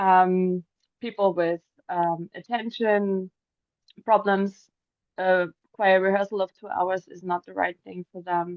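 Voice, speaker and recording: A woman's medium-pitched voice with a German accent, very slow and monotone, with flat intonation and long, frequent pauses. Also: big swings in loudness. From Germany. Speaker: singer. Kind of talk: interview answers. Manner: hesitant.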